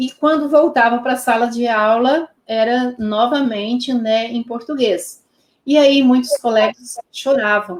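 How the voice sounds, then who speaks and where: A woman speaks at a very slow pace. Her fairly high voice shows ordinary pitch variation. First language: Pomeranian (speaking Portuguese). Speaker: Pomeranian language teacher. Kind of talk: interview. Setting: live stream.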